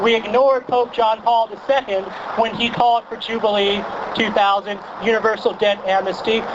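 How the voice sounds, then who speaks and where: Over noticeable background noise, a man with an American accent talks at a moderate pace and a high pitch. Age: 30s. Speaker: journalist. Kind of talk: protest speech. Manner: loud; animated.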